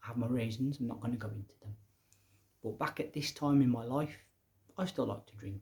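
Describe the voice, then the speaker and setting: A medium-pitched man with a slight Midlands accent, a dark, mellow, somewhat breathy tone and a fairly quick pace. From English Midlands. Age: young. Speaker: educator and public speaker. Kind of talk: casual monologue. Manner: conversational.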